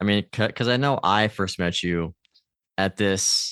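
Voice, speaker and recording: In a dry, close sound with no echo, a man with an American accent speaks at a moderate pace with a fairly low pitch and fairly even intonation. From US. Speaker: podcast host. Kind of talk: podcast interview. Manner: halting, repeats words.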